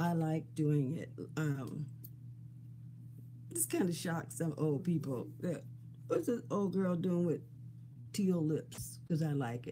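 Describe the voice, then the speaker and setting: Very deep and low, a woman's somewhat breathy voice has a dark, mellow tone, ordinary pitch variation and a very slow pace. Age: 70s. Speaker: beauty vlogger. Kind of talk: casual chat. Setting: live stream recording. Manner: chatty, informal.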